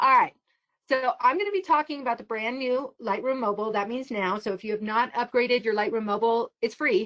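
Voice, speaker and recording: Fairly quick and high-pitched, a woman speaks in an animated tone with lively intonation. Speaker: photography instructor. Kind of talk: online tutorial presentation. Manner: fast.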